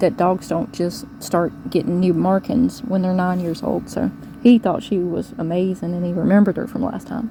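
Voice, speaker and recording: A woman talks at a medium pitch with ordinary variation. Noticeable background noise can be heard. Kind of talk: casual vlog update. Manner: fast.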